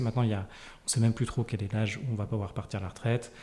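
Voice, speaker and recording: The voice is somewhat breathy with a dark, mellow tone. It moves at a very fast pace with fairly even intonation. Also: man. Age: 30s. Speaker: early retiree and financial independence advocate. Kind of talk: interview. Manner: halting.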